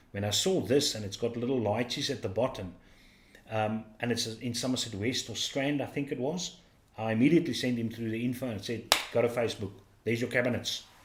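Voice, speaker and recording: Man with a South African accent, medium pitch, ordinary pitch variation and a fairly quick pace. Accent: South African (Afrikaans) English. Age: 50s. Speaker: livestream host. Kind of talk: casual chat.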